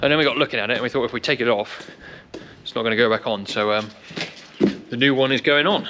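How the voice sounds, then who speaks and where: A man talks at a very fast pace over light background noise. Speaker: farm worker vlogger. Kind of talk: casual vlog chat. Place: farm machine. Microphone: phone near.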